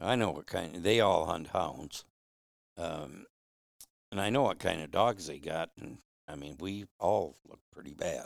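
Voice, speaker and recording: With an American accent, a man speaks at a very deep, low pitch with vocal fry, lively intonation, big swings in loudness, a fairly slow pace and long, frequent pauses. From Michigan, Flint. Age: 70s. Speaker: hound hunter. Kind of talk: casual interview storytelling. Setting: at his home.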